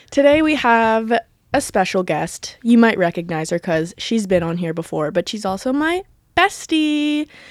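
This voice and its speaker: A woman talks at a moderate pace with a fairly high pitch and very wide pitch swings. The recording is very clean, with a silent background. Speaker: podcast host and YouTuber. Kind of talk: casual chat. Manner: over-enthusiastic, animated.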